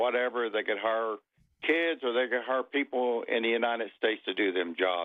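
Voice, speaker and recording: Ordinary pitch variation runs through a plain, everyday voice. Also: man. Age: 60s. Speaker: caller, farmer. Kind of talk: call-in.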